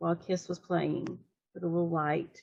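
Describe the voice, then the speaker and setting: With a Southern US accent, a woman talks in a fairly low pitch. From US South. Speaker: fan, writer of fiction. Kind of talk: casual interview.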